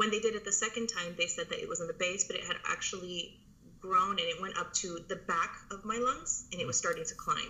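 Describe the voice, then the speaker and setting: Noticeable background noise runs under the clip. A woman talks at a very fast pace. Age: 30s. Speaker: army veteran. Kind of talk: casual chat.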